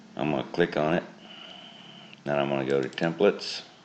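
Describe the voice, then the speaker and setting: A man talks in a very deep, low voice with flat, monotone intonation. Noticeable background noise runs behind him. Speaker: software tutorial maker. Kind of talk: tutorial. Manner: casual.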